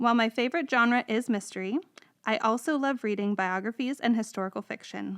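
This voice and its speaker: Over a quiet background, a woman with a plain, everyday voice speaks at a fairly high pitch and a fairly quick pace. Her pitch varies in an ordinary way, and the sound is dry and close with no echo. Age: 30s. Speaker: librarian, podcast co-host. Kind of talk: scripted self-introduction.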